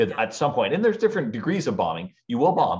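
A man's pitch swings very widely. Behind him, the background stays quiet. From Ontario, Canada. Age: 40s. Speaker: podcast guest, speaker. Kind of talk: casual interview. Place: home room. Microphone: video call.

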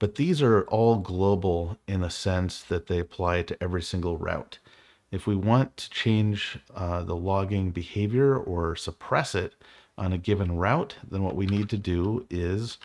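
Over a quiet background, a man with a very deep, low voice talks at a moderate pace with ordinary pitch variation. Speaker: programming tutor. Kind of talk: tutorial.

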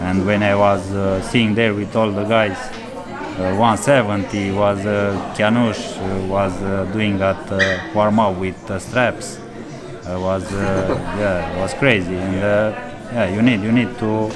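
A man at a fairly slow pace against loud background noise. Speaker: interviewee. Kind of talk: interview answer. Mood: reflective, calm. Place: cafe.

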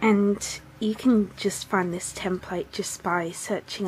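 A woman speaks at a very slow pace with fairly even intonation, over noticeable background noise. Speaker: craft tutorial maker. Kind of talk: craft tutorial voice-over. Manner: casual, modest.

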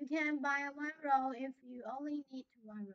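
Over a quiet background, a woman with a high voice talks at a fairly slow pace with ordinary pitch variation. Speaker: factory sales representative. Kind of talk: sales pitch. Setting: livestream video broadcast. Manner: halting. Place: office. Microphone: lapel.

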